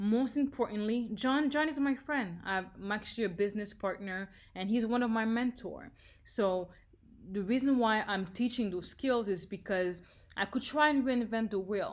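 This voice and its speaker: The speaker has a slight French accent and an energetic tone at a moderate pace, with ordinary pitch variation. The recording is very clean, with a silent background. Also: woman, fairly high pitch for a woman. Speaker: leadership trainer. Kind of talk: leadership training talk.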